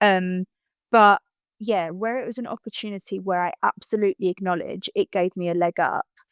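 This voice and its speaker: With a slight Essex accent, a woman talks at a fairly quick pace and medium pitch with fairly even intonation, recorded very cleanly against a silent background with a dry, close sound and no echo. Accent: slight Essex twang. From Essex, England. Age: 30s. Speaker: motivational speaker. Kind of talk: interview conversation.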